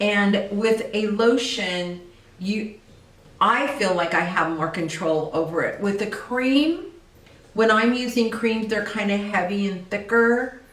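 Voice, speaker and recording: With audible room echo and noticeable background noise, a woman speaks at a very slow pace. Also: medium pitch for a woman, ordinary pitch variation. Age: 60s. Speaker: esthetician. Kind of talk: tutorial. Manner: casual.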